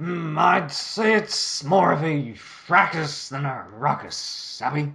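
Putting on a character voice, a man speaks very slowly at a fairly high pitch. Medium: fan dub. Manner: rambling, cheeky.

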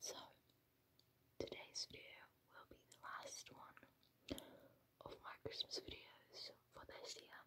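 Whispering comes at a fairly slow pace with long, frequent pauses. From Finland. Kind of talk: ASMR Christmas Q&A to camera. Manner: whispered.

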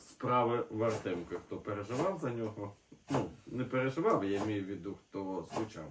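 A man speaks at a moderate pace, with audible room echo.

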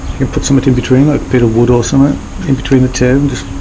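Noticeable noise sits behind a man as he talks. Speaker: amateur motorcycle mechanic. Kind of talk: casual DIY tutorial talk to camera. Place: street. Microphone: phone near.

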